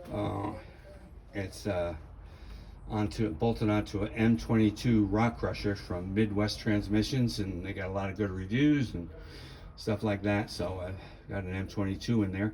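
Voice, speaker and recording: A man's voice is somewhat breathy, with a dark, mellow tone. His pitch is fairly low and his intonation fairly even. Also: moderate pace. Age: 70s. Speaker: car hobbyist. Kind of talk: casual walkaround video tour. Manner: hesitant, many fillers.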